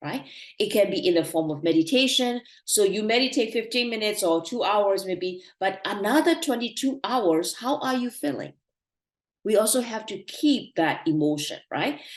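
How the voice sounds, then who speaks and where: With a Burmese accent, a woman speaks at a moderate pace in a fairly high pitch, with very wide pitch swings. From Myanmar. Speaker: meditation teacher. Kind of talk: online talk / lecture.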